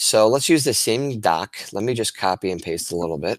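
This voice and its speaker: A man speaks with lively intonation. The sound is dry and close with no echo, on a very clean recording with a silent background. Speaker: teacher. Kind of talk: tutorial. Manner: fast.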